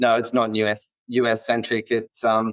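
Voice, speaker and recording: On a dry, close recording with no echo, a man speaks with an Australian accent. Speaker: nurse leader. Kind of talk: podcast interview.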